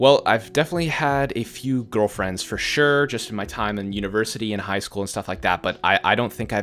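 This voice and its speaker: A man talks at a fairly quick pace with a fairly low pitch and ordinary pitch variation. It is an unremarkable speaking voice. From Canada. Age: 20s. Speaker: gaming youtuber. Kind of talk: casual Q&A video. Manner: casual, with fillers.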